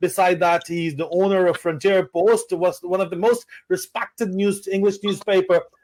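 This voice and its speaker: Pitched high for a man, his voice keeps a fairly even intonation at a moderate pace. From Pakistan, British Pakistani family. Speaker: talk show host, former military officer. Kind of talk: political talk show interview. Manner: halting, many fillers.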